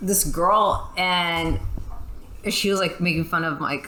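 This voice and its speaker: The voice has an American accent and ordinary pitch variation. Noticeable background noise runs underneath. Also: woman. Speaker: gamer. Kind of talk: casual chat. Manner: halting.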